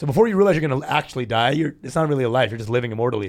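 The recording is very clean, with a silent background. A man with an American accent speaks with lively intonation. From Texas. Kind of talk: casual chat.

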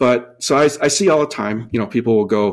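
His is an unremarkable speaking voice. The man keeps a moderate pace, and his pitch variation is ordinary. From Minnesota. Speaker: dive equipment company employee and co-host. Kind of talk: casual chat.

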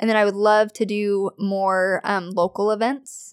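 A woman with a plain, everyday voice and fairly high pitch speaks at a fairly slow pace with fairly even intonation, dry and close with no echo, on a very clean recording with a silent background. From US Pacific Northwest (Kelso, Washington). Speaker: small business owner. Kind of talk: casual interview chat. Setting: home studio.

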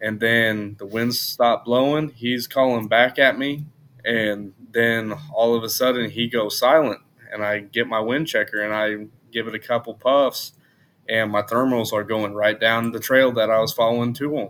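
At a moderate pace, a man with an American accent uses a plain, everyday voice at medium pitch with fairly even intonation. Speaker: hunter. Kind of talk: casual chat.

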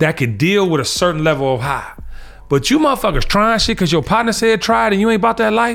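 Music plays in the background as a man with a high pitch speaks in very wide pitch swings. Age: 50s. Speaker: podcast host. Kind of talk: casual chat. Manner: animated.

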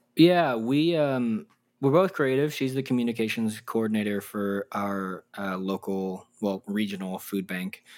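A man with a Texan accent speaks fairly slowly at medium pitch with lively intonation, in a very clean recording with a silent background. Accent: Texan American English. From Texas. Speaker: podcast co-host, interviewed this episode. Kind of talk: casual interview conversation.

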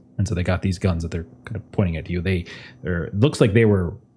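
On a very clean recording with a silent background, a man's somewhat breathy voice has a dark, mellow tone. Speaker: game master of a tabletop roleplaying game. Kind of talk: actual-play roleplaying game session, narrating and chatting. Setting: live stream. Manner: casual, filler-heavy, often restarts sentences.

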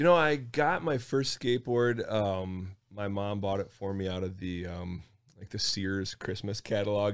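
A man with an ordinary speaking voice, fairly low in pitch, at a moderate pace on a very clean recording with a silent background. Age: 50s. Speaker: skate park project organizer. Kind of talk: casual chat. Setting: studio.

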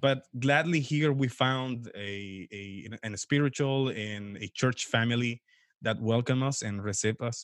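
With a Spanish accent, a man talks at a fairly slow pace and a medium pitch, with ordinary pitch variation and big swings in loudness. The recording is very clean, with a silent background. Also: dry, close sound with no echo. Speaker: pastor. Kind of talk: interview.

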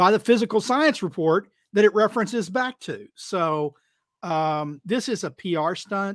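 In a dry, close sound with no echo, a man with an American accent talks at a moderate pace, his high pitch carrying lively intonation. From Texas. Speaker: climate policy commentator. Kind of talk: casual panel discussion. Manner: halting, many fillers.

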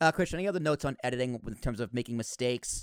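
Racing at a very fast pace, a man speaks in a medium pitch with lively intonation, the sound dry and close with no echo on a very clean recording with a silent background. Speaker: podcast host and editor. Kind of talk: casual tutorial conversation. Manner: fast talker; mumbles at times.

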